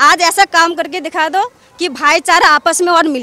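A woman's raised, projected voice at an extremely high pitch, with ordinary pitch variation, a moderate pace and a dry sound with no echo. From Delhi, Jahangirpuri; Delhi. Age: 30s. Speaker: local resident; interviewee. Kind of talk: street interview. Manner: animated. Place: street. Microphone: handheld.

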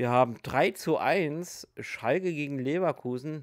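The voice shows ordinary pitch variation, heard in a dry sound with no echo against a quiet background. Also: man. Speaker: hobby youtuber. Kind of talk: casual commentary.

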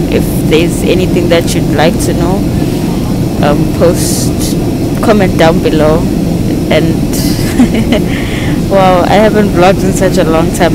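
With a fairly slow pace and long, frequent pauses, a woman speaks over loud background noise in a dry sound with no echo. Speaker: travel vlogger. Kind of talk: casual vlog chat. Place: plane. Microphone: earbuds.

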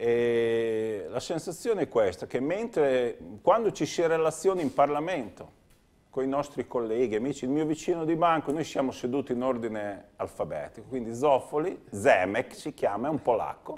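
A man's fairly high pitch with lively intonation at a moderate pace. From Romagna, Italy (Cesenatico); Romagna, Italy. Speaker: member of European Parliament, former mayor and dentist; former mayor. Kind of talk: TV interview. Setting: TV studio. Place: studio. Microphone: lapel.

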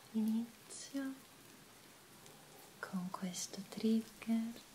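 A soft-spoken woman talks at a very slow pace with fairly even intonation. Light background noise can be heard. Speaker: ASMR creator. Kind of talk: soft-spoken ASMR talk. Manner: soft-spoken, hushed ASMR voice. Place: home room.

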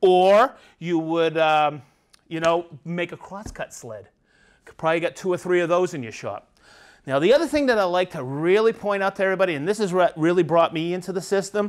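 Over a quiet background, a man with a high-pitched voice talks at a fairly quick pace with ordinary pitch variation. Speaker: tool trainer. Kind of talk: tutorial. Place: workshop.

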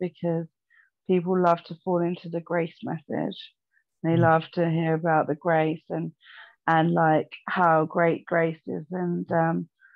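With a plain, everyday voice, a woman talks at a fairly slow pace and a fairly low pitch. The background is quiet. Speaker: remote guest. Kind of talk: faith discussion, personal testimony. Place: home room. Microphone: video call.

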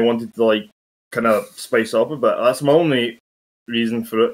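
A man with a plain, everyday voice talks at moderate speed, medium in pitch, varying it in an ordinary way. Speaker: commentator. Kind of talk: casual chat.

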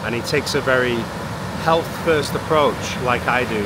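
A man at a moderate pace with ordinary pitch variation, over loud background noise. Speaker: fitness coach vlogger. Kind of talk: casual vlog chat. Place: beach. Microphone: phone near.

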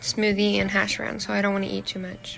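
A woman's voice shows ordinary pitch variation, with light background noise behind it. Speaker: vlogger. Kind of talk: casual vlog chat. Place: home room.

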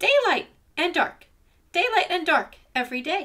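Using a put-on character voice, a woman projects a squeaky, extremely high-pitched sound at a moderate pace. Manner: excited, shouting.

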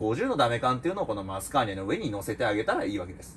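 A man in an animated tone at a very fast pace. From Japan. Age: 20s. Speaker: YouTuber and part-time teacher; YouTuber, part-time teacher. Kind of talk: casual vlog monologue. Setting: home recording, unedited. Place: home room. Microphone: phone near.

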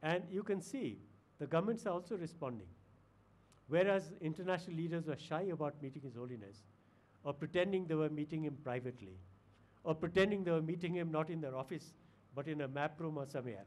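Lively intonation runs through very fast speech that is broken by long, frequent pauses. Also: man, fairly high pitch for a man. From India. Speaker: retired diplomat; guest lecturer. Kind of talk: lecture. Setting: lecture hall with audience. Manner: formal. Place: hall. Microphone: podium.

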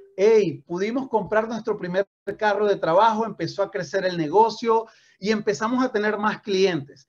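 In an animated tone, a man talks at a high pitch with ordinary pitch variation. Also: moderate pace. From Venezuela. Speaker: network marketing trainer. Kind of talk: motivational training talk. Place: home room. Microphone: video call.

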